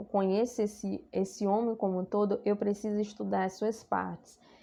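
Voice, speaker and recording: A woman with a normal speaking voice talks at a moderate pace, her pitch medium and its variation ordinary. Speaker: psychology lecturer. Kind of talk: recorded lecture.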